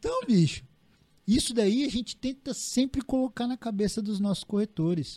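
A man's dark, mellow tone in a dry, close sound with no echo and a very clean, silent background. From Paraná, Brazil. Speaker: real estate agency owner. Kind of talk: casual chat.

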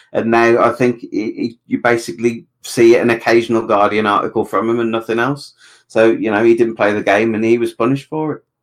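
A man with a British accent talks at a fairly quick pace with hardly any pauses, at a medium pitch and in a flat, monotone intonation. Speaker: podcast panelist. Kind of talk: casual chat. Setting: video call.

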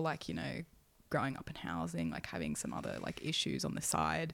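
With an Australian accent, a woman speaks with vocal fry. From Sydney, Australia. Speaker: former hospital nurse. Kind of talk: casual chat.

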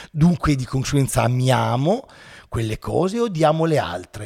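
A somewhat breathy man's voice moves through very wide pitch swings. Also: very clean recording, silent background. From Italy, Turin. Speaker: philosophy teacher and YouTuber. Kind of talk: casual interview.

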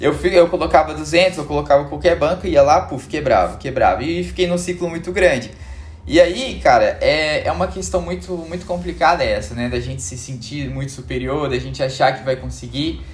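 At a moderate pace, a man speaks with big swings in loudness over noticeable background noise. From Belo Horizonte, Minas Gerais, Brazil. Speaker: options trader. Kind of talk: casual interview chat.

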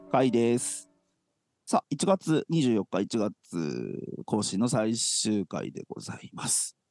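A man at a very slow pace, dry and close with no echo, big swings in loudness, music in the background. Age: 40s. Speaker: church podcast co-host. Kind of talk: casual chat. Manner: animated.

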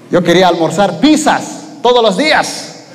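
Against noticeable background noise, a man speaks in an animated tone with very wide pitch swings. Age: 30s. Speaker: preacher. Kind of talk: sermon.

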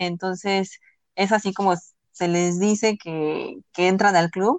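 A woman's medium-pitched, monotone, flat delivery at a moderate pace, over a quiet background. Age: 20s. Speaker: podcast co-host. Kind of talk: casual chat.

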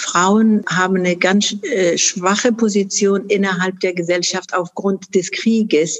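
Ordinary pitch variation and a medium pitch from a woman, delivered at a fairly slow pace. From Afghanistan, Kunduz. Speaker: charity founder and chairwoman. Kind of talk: interview. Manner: hesitant with many fillers.

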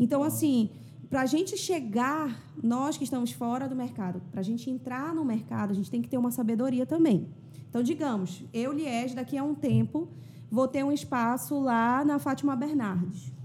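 A woman with a high pitch and a dark, mellow tone talks at a moderate pace with lively intonation. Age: 30s. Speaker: singer-songwriter and influencer. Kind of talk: casual chat.

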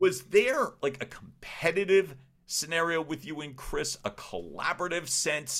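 A man's fairly high voice with an American accent, animated and fairly slow, with vocal fry. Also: lively intonation. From Philadelphia, US. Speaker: podcast host, communication coach. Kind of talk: interview conversation; scripted outro.

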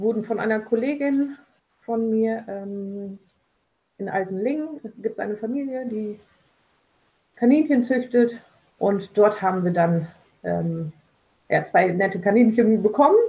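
Somewhat breathy, a woman speaks at a very slow pace with a fairly high pitch, a dark, mellow tone and ordinary pitch variation. Long pauses come frequently. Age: 40s. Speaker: social pedagogue. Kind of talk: casual interview.

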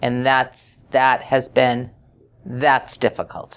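At a very slow pace, a woman speaks in a very deep, low pitch. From New England. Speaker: chief nursing officer. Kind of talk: interview.

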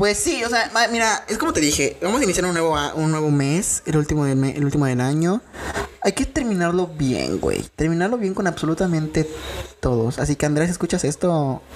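The speaker sounds animated, with lively intonation, very even loudness and a fairly quick pace over noticeable background noise. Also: woman, fairly low pitch for a woman. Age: 20s. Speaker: podcast co-host. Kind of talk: casual chat.

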